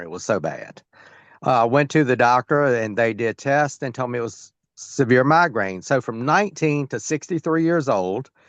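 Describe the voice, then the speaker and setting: A man talks in an ordinary speaking voice at a medium pitch and moderate pace, with ordinary pitch variation and a dry, close sound with no echo against a quiet background. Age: 60s. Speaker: sales team member. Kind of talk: testimony. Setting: video call on phone.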